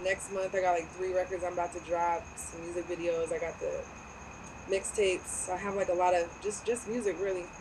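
A woman speaks in an American accent at a fairly quick pace. Her intonation is monotone and flat. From Southern California. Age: 30s. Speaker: model and rapper. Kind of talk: casual chat.

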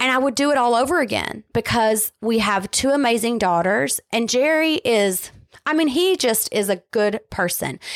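An unremarkable speaking voice moves at a moderate pace with lively intonation and very even loudness, on a very clean recording with a silent background. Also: woman, fairly high pitch for a woman, dry, close sound with no echo. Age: 40s. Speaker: podcast co-host. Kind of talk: casual chat.

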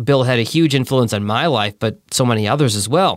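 This man talks at a fairly quick pace. His pitch is medium. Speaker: podcast host and radio DJ. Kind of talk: eulogy, tearful, personal storytelling. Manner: emotional, halting, grief-choked at times.

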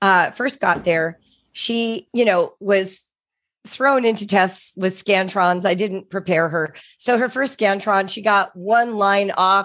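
A woman with an ordinary speaking voice talks at a medium pitch and a fairly slow pace, with ordinary pitch variation. The recording is very clean, with a silent background. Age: 60s. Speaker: author and education writer. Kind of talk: interview.

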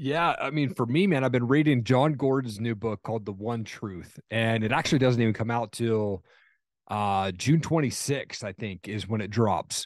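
Against a quiet background, a man talks at a moderate pace. His pitch is medium, with ordinary pitch variation. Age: 40s. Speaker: podcast host and motivational speaker. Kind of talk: casual interview chat. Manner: animated.

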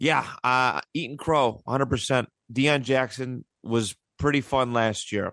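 Against a quiet background, a man with a Buffalo accent speaks at a fairly slow pace and medium pitch, his tone bright and sharp, his intonation fairly even and the sound dry and close with no echo. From Buffalo, western New York. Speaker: podcast host, sports fan. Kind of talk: casual chat.

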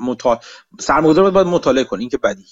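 A man speaks with lively intonation in a dry, close sound with no echo. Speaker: podcast host. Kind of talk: casual group chat about markets and news.

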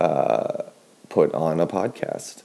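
Soft-spoken and very deep in pitch, a man talks in a dark, mellow tone. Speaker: sleep podcast host. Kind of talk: sleep-aid monologue. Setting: at home in kitchen. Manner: slow, droning with pauses.

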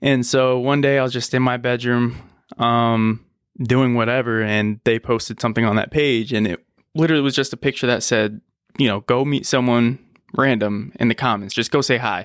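A man with an American accent in a normal speaking voice, at medium pitch and moderate pace, with fairly even intonation and very even loudness, the sound dry and close with no echo on a very clean recording with a silent background. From US, Buffalo NY and Richmond, Virginia. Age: 20s. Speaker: air force veteran and firefighter. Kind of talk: interview.

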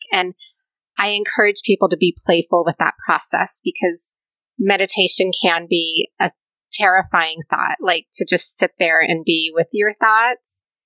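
Soft-spoken and bright, sharp in tone, a woman speaks at a fairly slow pace in a medium pitch with fairly even intonation. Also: dry, close sound with no echo. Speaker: pilates and yoga instructor. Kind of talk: casual interview chat. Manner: soft, nurturing.

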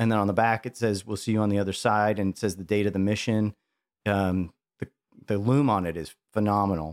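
With an American accent, a man speaks in fairly low pitch and fairly even intonation, an unremarkable speaking voice heard in a dry, close sound with no echo. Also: fairly quick pace. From Chicago. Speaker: watch collector. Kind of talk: casual chat.

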